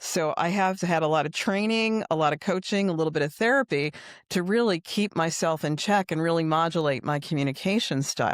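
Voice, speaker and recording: Speaking at a fairly quick pace, a woman keeps a fairly low pitch, very even loudness and ordinary pitch variation. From New York City. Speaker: HR consultant. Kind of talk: interview. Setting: live show. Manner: direct.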